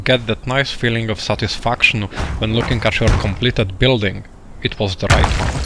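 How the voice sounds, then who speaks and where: A man with a non-native accent speaks at a moderate pace and medium pitch, with fairly even intonation over noticeable background noise. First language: not English. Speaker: video game tutorial creator. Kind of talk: tutorial.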